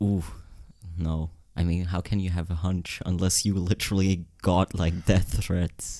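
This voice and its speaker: On a very clean recording with a silent background, a man speaks in a monotone, flat intonation with a very deep, low pitch and a dark, mellow tone. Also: fairly slow pace. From Switzerland, Zurich area. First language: Swiss German. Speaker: podcast co-host. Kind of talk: casual chat.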